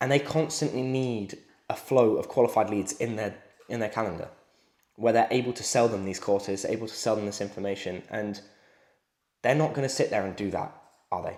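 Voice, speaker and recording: Fairly quick speech broken by long, frequent pauses, in a British accent. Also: man, medium pitch for a man, ordinary pitch variation. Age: 20s. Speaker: sales coach. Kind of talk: motivational talk to camera.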